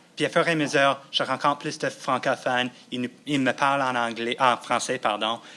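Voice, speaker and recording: Speaking at a medium pitch, a man has a bright, sharp tone and fairly even intonation. He goes at a very fast pace with hardly any pauses. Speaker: former immersion student, theatre company worker. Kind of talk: panel discussion. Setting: university symposium with audience.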